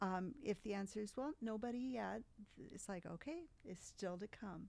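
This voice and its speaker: A woman's unremarkable speaking voice, fairly high, with lively intonation and a moderate pace. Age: 60s. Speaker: mother of the host. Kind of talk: casual chat.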